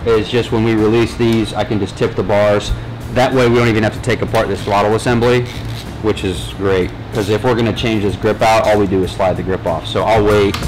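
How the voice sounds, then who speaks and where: A man talks at a fairly quick pace with a fairly low pitch. His intonation is fairly even, his loudness very even, and there is light background noise. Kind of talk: tutorial. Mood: relaxed, joking. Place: workshop.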